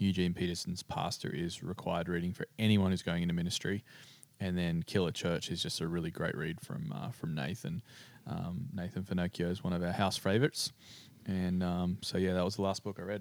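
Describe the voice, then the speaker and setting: A man with an Australian accent speaks at a fairly quick pace in a very deep, low voice, his intonation fairly even. The recording is very clean, with a silent background. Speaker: pastor. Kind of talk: interview.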